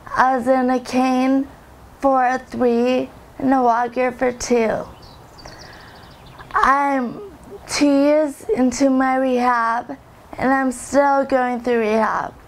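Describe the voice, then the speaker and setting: Over noticeable background noise, a woman with a high pitch speaks at a very slow pace, taking long, frequent pauses while her loudness stays very even. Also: fairly even intonation. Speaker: former drug user. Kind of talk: testimony. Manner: slow speech.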